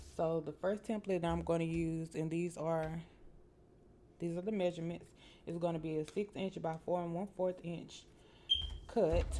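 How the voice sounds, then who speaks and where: A woman's fairly low, flat, monotone delivery with a Southern US accent, moderate in pace, with long, frequent pauses. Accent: US South. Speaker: crafting tutorial host. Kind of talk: tutorial. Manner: casual, filler-heavy.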